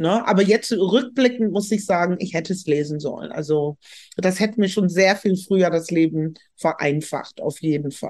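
Her voice is an unremarkable speaking voice, pitched at a medium level for a woman. She moves at a moderate pace with ordinary pitch variation. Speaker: professor and sociologist. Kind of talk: interview.

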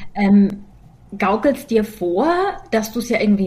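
A woman's somewhat breathy voice, fairly high in pitch, moves at a fairly slow pace with ordinary pitch variation. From Germany. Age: 40s. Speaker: podcast co-host and comedian. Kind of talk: casual chat.

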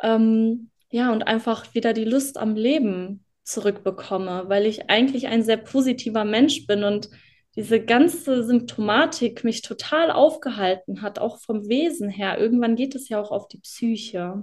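A woman in an ordinary speaking voice talks at a fairly slow pace and fairly high pitch with ordinary pitch variation, against a quiet background. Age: 20s. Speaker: former client sharing success story. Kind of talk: interview testimony.

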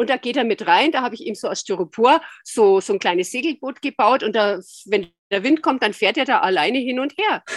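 Her pitch high and her intonation lively, a woman talks at a fairly quick pace in a dry, close recording with no echo. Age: 60s. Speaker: osteopath and dog owner. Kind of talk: interview.

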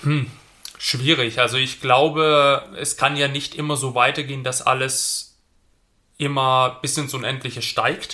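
A man speaks fairly slowly in a bright, sharp tone. His fairly high voice has a monotone, flat intonation. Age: 20s. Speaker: police patrol officer and property investor. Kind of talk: interview. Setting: studio.

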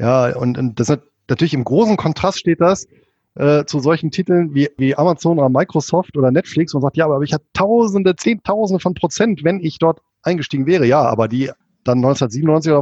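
A man's ordinary speaking voice, fairly high in pitch, at a fairly quick pace with ordinary pitch variation. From Rhineland, Germany (Bonn), Spanish roots. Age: 40s. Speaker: finance blogger and author. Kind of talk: interview.

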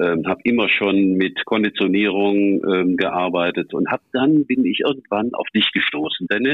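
A man with an unremarkable speaking voice, fairly low in pitch, at a fairly slow pace with hardly any pauses, ordinary pitch variation and very even loudness. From Rhineland, Eifel region, Germany. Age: 60s. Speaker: hunting dog handler and trial judge. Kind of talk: casual chat. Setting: phone call. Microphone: connection dropped twice.

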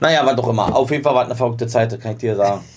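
A man talks at medium pitch with ordinary pitch variation. There is noticeable background noise. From East Berlin. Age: 40s. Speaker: rapper. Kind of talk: casual chat. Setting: studio.

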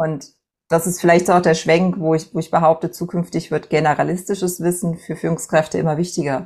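A woman with a fairly low-pitched voice speaks fairly quickly. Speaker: entrepreneur and mentor. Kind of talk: interview. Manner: hesitant fillers.

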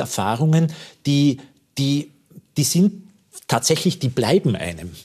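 Fairly high in pitch and somewhat breathy, a man's voice moves with lively intonation. He speaks at a fairly slow pace. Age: 50s. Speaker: actor. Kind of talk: talk show interview.

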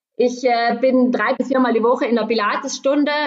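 This woman has a fairly high pitch and an ordinary speaking voice. She talks at a moderate pace. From South Tyrol, Meran area. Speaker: trail runner. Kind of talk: casual interview.

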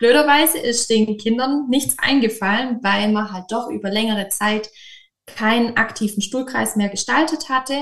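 In a southern German accent, a woman speaks at a fairly high pitch and a moderate pace with ordinary pitch variation. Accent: regional southern German. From southern Germany, near Stuttgart (Swabia). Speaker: kindergarten teacher. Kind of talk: interview.

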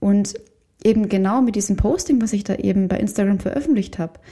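A somewhat breathy woman at a medium pitch. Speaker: podcast host and photographer/coach. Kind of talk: solo podcast monologue.

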